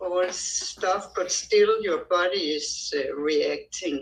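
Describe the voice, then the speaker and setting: With a non-native accent, the woman talks at a very slow pace. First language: not English. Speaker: participant asking a question. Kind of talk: question in online session. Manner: halting.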